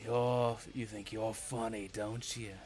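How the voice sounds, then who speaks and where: Through clear background noise, a put-on character voice growls at a fairly slow pace in a monotone, flat intonation. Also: man, medium pitch for a man. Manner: growling in pain.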